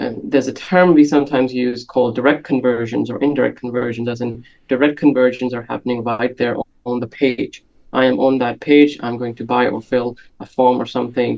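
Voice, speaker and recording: A man's medium-pitched voice with a non-native accent, monotone and flat, at a fairly quick pace. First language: not English. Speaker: conversion and analytics expert. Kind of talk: podcast interview. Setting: video call.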